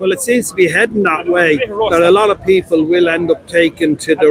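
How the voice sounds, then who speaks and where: A man with a Dublin accent speaks at a high pitch with ordinary pitch variation. His pace is moderate, and there is noticeable background noise. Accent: Dublin Irish. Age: 60s. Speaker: retired fire brigade member. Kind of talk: street interview. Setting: outdoors at a street protest.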